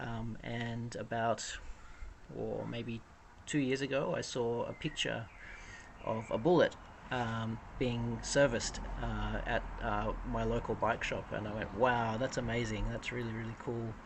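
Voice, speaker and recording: Speaking in an Australian accent, this person keeps to a fairly slow pace. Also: man. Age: 30s. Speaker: cargo bike owner. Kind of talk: interview.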